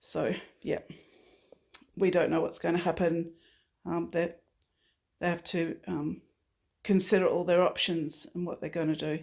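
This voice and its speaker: Talking at a moderate pace in an Australian accent, a woman leaves long, frequent pauses. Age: 60s. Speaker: climate activist. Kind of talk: interview. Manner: halting, many fillers.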